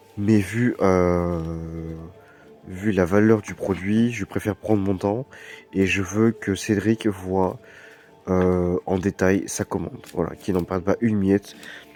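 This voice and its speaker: With music in the background, the speech comes at a very slow pace in a flat monotone, broken by long, frequent pauses, and the sound is dry and close with no echo. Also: man, fairly low pitch for a man. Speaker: card shop seller. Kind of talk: product showcase video. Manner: hesitant, many fillers.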